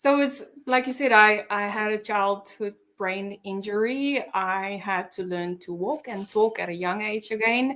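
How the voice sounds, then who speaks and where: A woman's fairly high voice, bright and sharp in tone, with a non-native accent and ordinary pitch variation. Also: fairly slow pace. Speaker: mindset coach. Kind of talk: personal testimony in interview.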